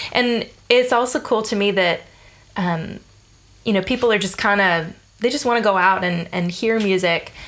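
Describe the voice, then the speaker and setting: At a moderate pace, a woman with an American accent speaks in a plain, everyday voice with ordinary pitch variation. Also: medium pitch for a woman. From US South (Georgia). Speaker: bass player and teacher. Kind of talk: casual interview. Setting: at host's place.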